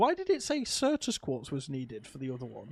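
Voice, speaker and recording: The man speaks fairly quickly. The background is silent, and the recording is very clean. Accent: British. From UK. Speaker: gaming streamer. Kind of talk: live gameplay commentary. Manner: animated.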